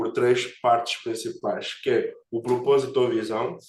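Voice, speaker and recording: The voice is a man's, pitched in the medium range. His intonation stays flat and monotone. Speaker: agile coach. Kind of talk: webinar presentation.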